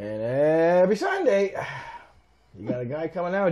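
A man speaks with an Ontario accent. His pitch is high. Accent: Canadian (Ontario). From Canada, Toronto. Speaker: keyboard player and musician; guest. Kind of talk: casual interview chat. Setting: in his home. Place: home room. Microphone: lapel.

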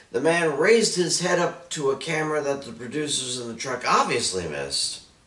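There is audible room echo on the recording. A man speaks at a moderate pace. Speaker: wrestling commentator vlogger. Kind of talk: commentary. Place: home room.

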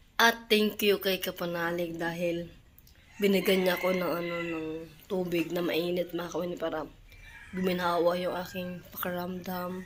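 A woman speaks at a moderate pace in a fairly low voice. Her intonation is monotone and flat. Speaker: vlogger. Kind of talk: casual vlog talk.

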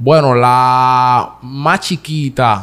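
Here a man is speaking. His pitch is medium. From Dominican Republic, San Isidro, Santo Domingo Este; Dominican Republic. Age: 20s. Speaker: comedian. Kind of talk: interview. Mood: earnest, emotional at times. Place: studio. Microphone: studio mic.

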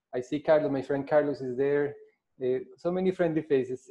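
A man speaks with ordinary pitch variation. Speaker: invited lecturer. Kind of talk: lecture. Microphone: video call.

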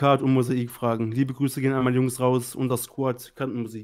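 A slightly mellow tone at a moderate pace, with little pitch movement. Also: man, medium pitch for a man.

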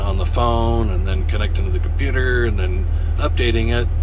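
Noticeable background noise sits behind a man whose pitch is extremely high as he speaks at a moderate pace. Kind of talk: casual vlog chat. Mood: frustrated about faulty GPS. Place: car. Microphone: phone near.

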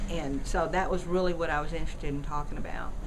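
Music plays in the background. A woman speaks with fairly even intonation. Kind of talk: interview answer. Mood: calm, matter-of-fact. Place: studio.

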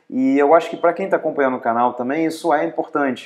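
The setting is quiet. A man talks, his pitch varying in an ordinary way. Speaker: travel vlogger. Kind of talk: casual vlog chat. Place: home room. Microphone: lapel.

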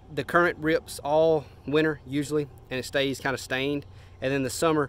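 A man's monotone, flat delivery at a moderate pace, dry with no echo. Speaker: fishing vlogger. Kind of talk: casual vlog chat. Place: garden. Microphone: phone near.

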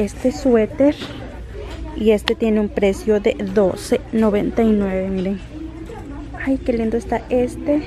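Noticeable background noise runs under the recording. A woman speaks at a very slow pace. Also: dry sound with no echo. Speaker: shopping vlogger. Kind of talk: casual vlog chat. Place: shop. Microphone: phone near.

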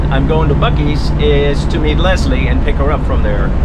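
A man's voice over loud background noise. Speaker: RV vlogger driving. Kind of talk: casual vlog chat. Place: car. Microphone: phone near.

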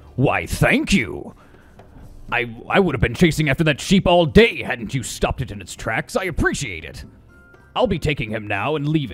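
Faint music sits in the background. Over it, a man does a put-on character voice at a moderate pace. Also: fairly high pitch for a man. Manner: menacing, falsely grateful.

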